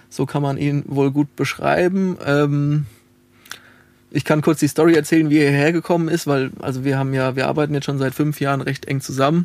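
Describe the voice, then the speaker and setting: This is a man with a plain, everyday voice, pitched fairly high. He talks at a fairly quick pace with fairly even intonation. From Lower Franconia, Bavaria (Alzenau, near Hesse border). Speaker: music producer and sound engineer, festival founder. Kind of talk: casual interview. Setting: recording studio.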